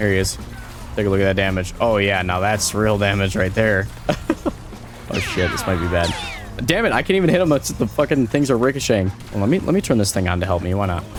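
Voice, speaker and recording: Over music in the background, a man with a fairly low pitch and ordinary pitch variation talks at a very fast pace, broken by long, frequent pauses. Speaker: gaming YouTuber. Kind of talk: gameplay commentary. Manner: animated.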